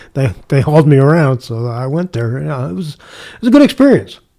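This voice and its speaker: Dark, mellow tone with a Midwestern American accent. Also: man. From US Midwest, St. Louis area. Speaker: retired homicide detective. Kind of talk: casual interview.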